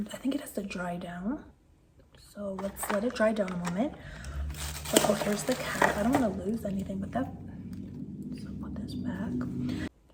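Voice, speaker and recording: Over noticeable background noise, a woman speaks at a moderate pace with a medium pitch. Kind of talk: makeup unboxing and review talking to camera. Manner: whispered, soft.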